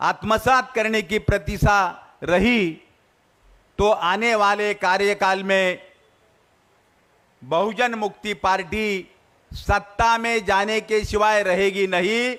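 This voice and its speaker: Intonation is fairly even. The voice has a bright, sharp tone. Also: man. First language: Marathi (speaking Hindi). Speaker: politician. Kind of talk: political speech.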